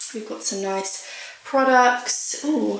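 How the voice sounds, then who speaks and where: Amid noticeable background noise and audible room echo, a woman talks at a very slow pace in a high pitch with ordinary pitch variation. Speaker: lifestyle vlogger. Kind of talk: vlog. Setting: outdoors. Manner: chatty; quiet.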